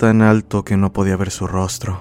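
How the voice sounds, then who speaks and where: Pitched fairly low, a man speaks in a plain, everyday voice at a moderate pace with fairly even intonation. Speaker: horror story podcast narrator. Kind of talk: ghost story telling, scripted narration of listener-submitted horror tale.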